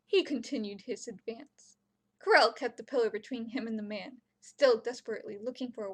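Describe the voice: Someone reads aloud plainly, with ordinary pitch variation. Nothing can be heard behind the voice.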